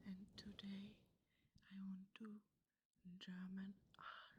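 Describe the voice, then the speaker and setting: Someone whispers at a very slow pace. The voice is soft-spoken and somewhat breathy. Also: woman. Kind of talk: ASMR intro in English. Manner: soft-spoken, whispered.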